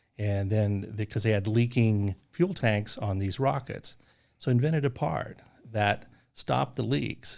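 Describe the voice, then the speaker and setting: A man with a plain, everyday voice speaks at a fairly low pitch and a fairly slow pace. His intonation is lively, and the recording is very clean with a silent background. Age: 60s. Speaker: business owner. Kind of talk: casual chat.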